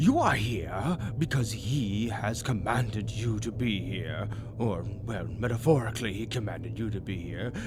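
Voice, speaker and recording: Putting on a character voice at a medium pitch, a man speaks at a moderate pace over loud background noise. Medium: audio drama. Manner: clingy, hesitant.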